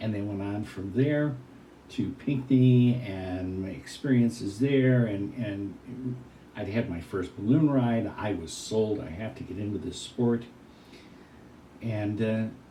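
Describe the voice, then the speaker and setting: Audible room echo surrounds a man who talks at a fairly slow pace with ordinary pitch variation. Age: 70s. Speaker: retired hot air balloon event announcer. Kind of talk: interview.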